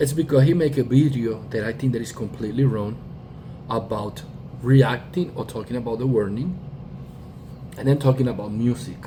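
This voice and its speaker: Moderate pace in a Spanish accent, with ordinary pitch variation and long, frequent pauses. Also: man, medium pitch for a man. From Puerto Rico. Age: 40s. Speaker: YouTuber, music reactor and bassist. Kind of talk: casual commentary monologue. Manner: halting, with fillers and restarts.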